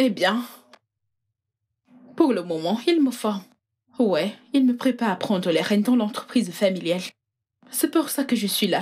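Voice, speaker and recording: With lively intonation and a fairly high pitch, a woman speaks at a fairly slow pace with long, frequent pauses. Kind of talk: polite, professional, like a job interview.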